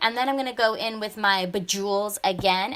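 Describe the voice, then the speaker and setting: A woman talks at a fairly quick pace with fairly even intonation. Her tone is bright and sharp. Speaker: bullet journal creator. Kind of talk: craft tutorial voiceover. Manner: fast; casual, chatty.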